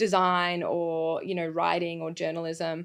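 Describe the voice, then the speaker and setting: In a very clean recording with a silent background, a woman with a fairly low voice speaks in an Australian accent. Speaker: creative agency executive. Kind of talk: podcast interview.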